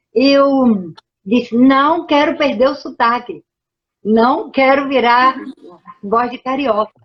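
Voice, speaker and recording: At a very slow pace with long, frequent pauses, a high-pitched woman speaks with ordinary pitch variation. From Brazil, Pernambuco. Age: 70s. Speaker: professor. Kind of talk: lecture.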